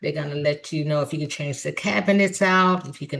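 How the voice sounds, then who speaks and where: Here is a woman speaking. Her tone is animated. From US Midwest, Chicago. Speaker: real estate agent. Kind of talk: tutorial.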